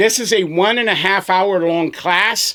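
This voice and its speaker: A man speaks at a high pitch in an animated tone. His pitch varies in an ordinary way. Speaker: business coach and pressure washing business owner. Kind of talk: casual video talk.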